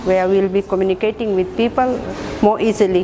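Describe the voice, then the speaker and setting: Monotone, flat intonation comes through over noticeable background noise. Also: woman. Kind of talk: interview answer. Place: meeting room. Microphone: lapel.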